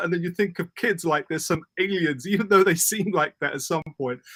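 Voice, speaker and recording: Loud and bright with a sharp tone, a man with a British accent talks at a fairly quick pace and high pitch, with a dry, close sound and no echo. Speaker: public speaking coach. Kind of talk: interview. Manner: fast.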